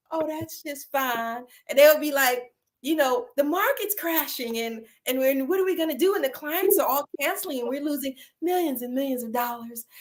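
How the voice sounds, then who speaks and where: In a Southern US accent, a woman speaks with an animated tone at a moderate pace, her high voice showing ordinary pitch variation. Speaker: online talk show host. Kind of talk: casual chat.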